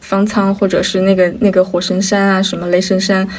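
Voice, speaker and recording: A woman's somewhat breathy, medium-pitched voice in a monotone, flat delivery. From Inner Mongolia, China. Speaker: podcast co-host. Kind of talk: casual chat.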